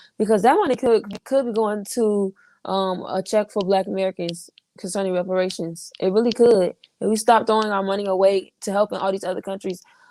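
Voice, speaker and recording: The tone is dark and mellow, with fairly even intonation at a fairly quick pace. The sound is dry and close, with no echo. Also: woman. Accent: Southern. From Florida. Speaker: political commentator. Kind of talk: casual chat.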